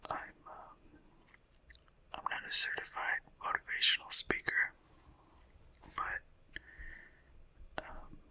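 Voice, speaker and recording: The tone is relaxed as the speaker whispers at a very slow pace, with long, frequent pauses. Noticeable background noise sits behind the voice. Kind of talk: ASMR whispered sleep podcast, rambling talk. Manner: whispering, relaxed, meandering.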